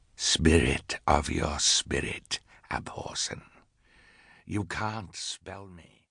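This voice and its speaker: Putting on a character voice, a man with a very deep, low pitch speaks at a very slow pace with hissing and long, frequent pauses. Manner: menacing.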